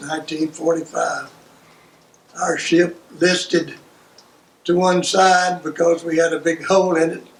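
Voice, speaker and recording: A man speaks fairly slowly in a high voice with monotone, flat intonation and long, frequent pauses. Noticeable background noise runs behind him. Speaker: World War II navy veteran. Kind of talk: oral history interview answer.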